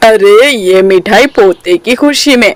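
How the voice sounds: A woman's cartoonish character voice, fairly high in pitch, with a dry, close sound and no echo.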